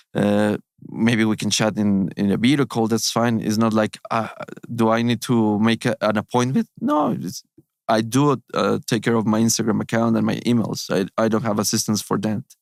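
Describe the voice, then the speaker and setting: A man speaks with a non-native accent and fairly even intonation. The sound is dry and close, with no echo. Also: medium pitch for a man, moderate pace. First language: Spanish. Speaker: surgeon, gut health doctor. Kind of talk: interview conversation. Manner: halting.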